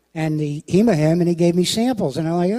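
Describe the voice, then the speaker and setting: This man's voice has a dark, mellow tone. He races through his words very quickly. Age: 70s. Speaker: network marketing distributor. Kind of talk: testimony.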